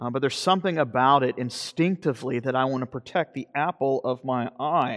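An unremarkable speaking voice from a man at medium pitch, fairly quick and with hardly any pauses, ordinary pitch variation, dry close sound with no echo, and a quiet background. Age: 40s. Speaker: pastor. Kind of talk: sermon.

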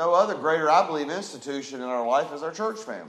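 A man's loud, booming, fairly bright voice carries ordinary pitch variation over audible room echo.

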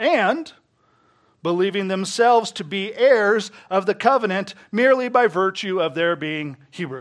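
Loud and high-pitched, a man speaks at a fairly slow pace with lively intonation in a very clean recording with a silent background. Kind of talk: sermon. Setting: church.

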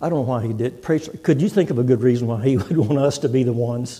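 A man with an American accent speaks at a medium pitch in a somewhat breathy, dark and mellow tone, with ordinary pitch variation and audible room echo. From Texas. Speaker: visiting preacher. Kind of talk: sermon. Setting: church.

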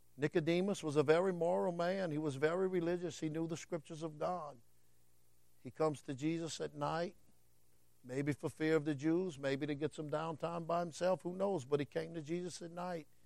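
A man with a Southern US accent talks at a fairly high pitch and a fairly quick pace against a quiet background. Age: 50s. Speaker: preacher. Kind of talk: sermon. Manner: animated.

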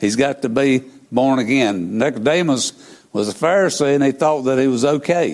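A man talks in a Southern US accent. His loudness stays very even. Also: medium pitch for a man, ordinary pitch variation, moderate pace. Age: 70s. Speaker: preacher. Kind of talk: sermon. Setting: church.

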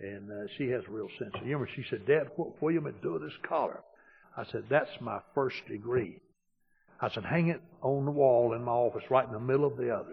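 At a fairly quick pace, a man talks in a somewhat breathy voice at a medium pitch with ordinary pitch variation. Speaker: pastor. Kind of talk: sermon. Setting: church.

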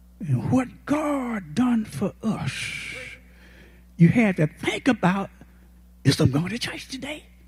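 At a very slow pace with long, frequent pauses, a man speaks in a high voice with very wide pitch swings. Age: 80s+. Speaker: guest preacher. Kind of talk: sermon. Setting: church. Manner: folksy, humorous, frank.

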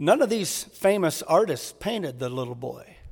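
A man talks at a high pitch and a moderate pace. His tone is animated, and his intonation is lively. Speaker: preacher. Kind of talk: sermon. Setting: church with congregation. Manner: animated, earnest, engaging the congregation with questions.

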